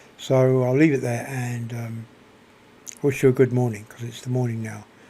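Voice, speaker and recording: A soft-spoken man talks at a moderate pace in a somewhat breathy, dark, mellow tone, his intonation monotone and flat. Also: medium pitch for a man, big swings in loudness. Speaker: video blogger. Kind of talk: spoken reflection monologue. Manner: halting, many repetitions.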